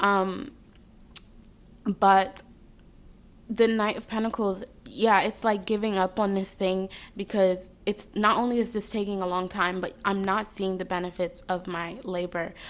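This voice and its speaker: With a slight Jamaican accent, a woman speaks at a medium pitch and a fairly slow pace, her intonation monotone and flat, leaving long, frequent pauses. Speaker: tarot reader. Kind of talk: tarot reading. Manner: casual, filler-heavy.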